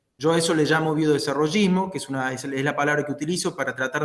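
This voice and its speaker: Here a man talks with fairly even intonation. His pitch is fairly high. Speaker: political scientist. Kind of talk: talk in an online discussion. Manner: halting, many fillers.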